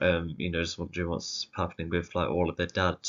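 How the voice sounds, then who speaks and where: With an English accent, a man speaks at a fairly quick pace in a very deep, low voice. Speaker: music video reviewer. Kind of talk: casual solo commentary. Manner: halting, many fillers.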